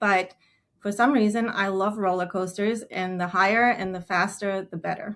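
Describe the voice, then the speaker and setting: A woman's medium-pitched voice with a slight German accent, fairly even intonation and a moderate pace. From Germany. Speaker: advertising director. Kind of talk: webinar introduction. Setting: online webinar.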